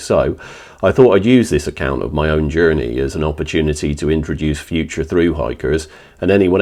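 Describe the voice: A man's extremely low-pitched voice with ordinary pitch variation at a fairly quick pace. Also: slightly mellow tone.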